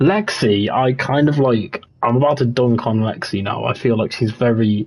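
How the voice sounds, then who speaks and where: A man with a West Midlands accent talks at a medium pitch with fairly even intonation. His voice is somewhat breathy. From West Midlands, England. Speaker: gaming streamer. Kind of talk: casual livestream chat. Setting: livestream on console.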